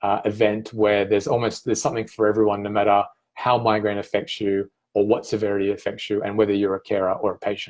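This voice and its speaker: A man with an Australian accent speaks at a fairly quick pace. His pitch is fairly low, and the background is quiet. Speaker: migraine patient advocate and event founder. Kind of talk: promotional talk to camera. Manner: hesitant, many fillers.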